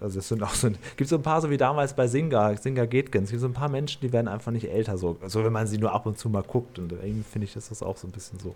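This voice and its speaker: This man talks very fast with hardly any pauses, his voice somewhat breathy. His pitch is medium, with ordinary variation. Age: 40s. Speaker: podcast host. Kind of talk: casual chat.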